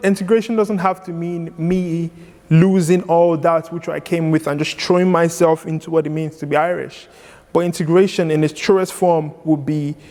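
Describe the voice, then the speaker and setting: There is noticeable background noise behind this man. He speaks with a high pitch and fairly even intonation. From Lagos, Nigeria. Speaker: poet and spoken word artist. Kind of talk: interview answer.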